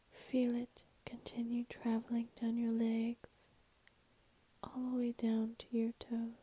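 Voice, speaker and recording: A soft-spoken woman talks very slowly with long, frequent pauses, her pitch fairly high and her delivery flat and monotone. The tone is dark and mellow, and the sound is dry and close with no echo. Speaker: ASMR and guided meditation creator. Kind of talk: guided meditation reading. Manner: soft-spoken, slow, calming.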